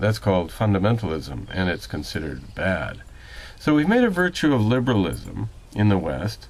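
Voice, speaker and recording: This man's pitch is fairly low. He speaks at a moderate pace. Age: 60s. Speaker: political commentator. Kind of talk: spoken commentary monologue. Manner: measured, with frequent hesitations.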